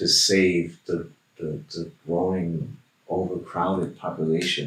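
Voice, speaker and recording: A man speaks at a very slow pace. His voice is very deep and low, with fairly even intonation. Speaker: shaman, hypnosis client. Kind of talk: hypnosis session answers in a deep trance. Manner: slow, dreamy, trance-like.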